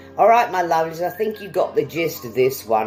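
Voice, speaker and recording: A woman talks with very wide pitch swings. Behind her, music plays. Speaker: English teacher. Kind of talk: language lesson to camera. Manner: upbeat, friendly.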